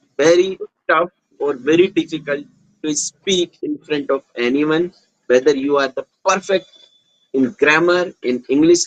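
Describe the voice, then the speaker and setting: At a moderate pace, a man speaks with ordinary pitch variation in a dry, close sound with no echo. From Uttar Pradesh, northern India. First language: Hindi. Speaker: small business owner and YouTuber. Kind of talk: casual conversation. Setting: video call.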